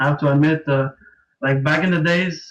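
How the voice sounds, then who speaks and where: Speaking in a French Canadian accent, a man with a fairly high pitch holds a moderate pace and a monotone, flat intonation. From Quebec, Canada (Montreal). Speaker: competitive card game player. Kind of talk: casual interview. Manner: hesitant, many fillers.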